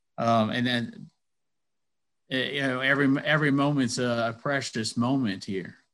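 Long, frequent pauses break up a man's speech. He keeps a moderate pace, medium pitch and ordinary pitch variation. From US South, Athens, Georgia. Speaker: commercial real estate broker and engineer. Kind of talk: interview. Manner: halting, many fillers.

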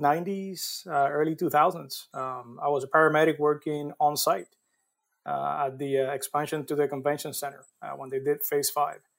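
In a Spanish accent, a man with a fairly high pitch speaks at a moderate pace. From Puerto Rico. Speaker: construction safety professional. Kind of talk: casual interview.

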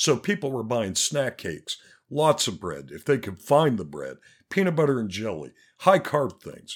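Here is a man at medium pitch with vocal fry and very wide pitch swings. The recording is very clean, the background silent. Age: 50s. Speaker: podcast host. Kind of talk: casual solo monologue with profanity. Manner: casual, candid, profane.

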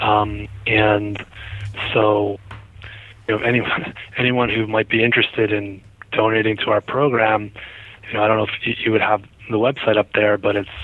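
With noticeable background noise behind him, a man speaks at a moderate pace and fairly low pitch in a monotone, flat intonation, keeping very even loudness and leaving long, frequent pauses. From New Jersey. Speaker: cardiologist. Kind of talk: interview.

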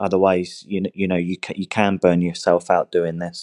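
Speaking in a southern English accent, a man with a very deep, low pitch keeps a monotone, flat intonation at a moderate pace, in a dry, close sound with no echo. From southern England, Hampshire. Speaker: online English teacher. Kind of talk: interview. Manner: halting, many repetitions and fillers.

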